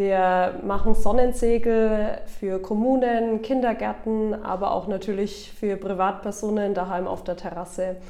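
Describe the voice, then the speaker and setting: In a room with audible echo and noticeable background noise, a woman speaks at a medium pitch with fairly even intonation. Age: 20s. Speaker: business owner. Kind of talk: interview. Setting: studio.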